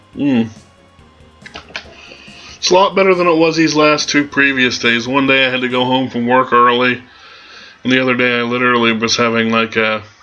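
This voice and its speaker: A medium-pitched male voice with long, frequent pauses and noticeable background noise. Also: ordinary pitch variation. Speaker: let's play gamer. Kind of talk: gameplay commentary. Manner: casual.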